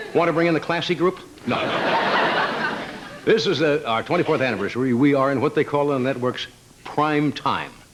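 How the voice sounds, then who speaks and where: A man at a fairly high pitch with ordinary pitch variation, fairly quick pace but long, frequent pauses, over noticeable background noise. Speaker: talk show host doing a stand-up monologue. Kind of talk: live late-night monologue to a studio audience. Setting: live studio audience.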